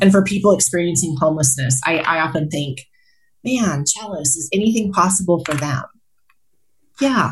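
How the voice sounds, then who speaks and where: A woman with an American accent speaks at a moderate pace in a fairly low pitch. Her voice is somewhat breathy, with lively intonation. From Colorado, US. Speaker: healthcare executive and motivational speaker. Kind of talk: casual interview conversation.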